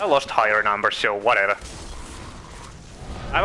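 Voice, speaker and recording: A man speaks at a fairly quick pace, with noticeable background noise in the recording. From Finland. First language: Finnish. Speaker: video game streamer. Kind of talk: live gameplay commentary.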